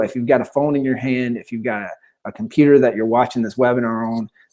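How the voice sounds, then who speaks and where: The voice carries a dark, mellow tone with a Southern US accent. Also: man. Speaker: webinar presenter, author. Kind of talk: webinar presentation. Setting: live online webinar. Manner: fast; animated.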